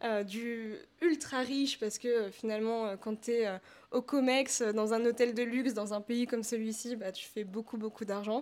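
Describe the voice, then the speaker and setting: A woman with a normal speaking voice and fairly high pitch talks at a fairly slow pace with fairly even intonation, in a very clean recording with a silent background. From France, Paris. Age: 20s. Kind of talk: interview conversation.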